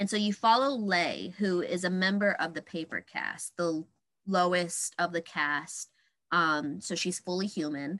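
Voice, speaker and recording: Over a quiet background, a woman speaks at a fairly slow pace in a bright, sharp tone and fairly low pitch, with ordinary pitch variation. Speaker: podcast host. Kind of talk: casual chat.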